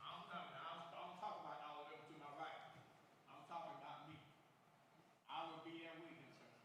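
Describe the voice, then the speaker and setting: With an American accent, a man speaks at a high pitch and a fairly quick pace in a bright, sharp tone. His intonation is monotone and flat, with long, frequent pauses and audible room echo. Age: 60s. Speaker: county council member. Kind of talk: council meeting response. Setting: public meeting. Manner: emphatic.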